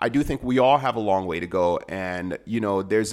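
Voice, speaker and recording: On a very clean recording with a silent background, a man talks at a moderate pace in a normal speaking voice with fairly low pitch. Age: 30s. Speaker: podcast host. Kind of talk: casual chat. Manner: joking, playful.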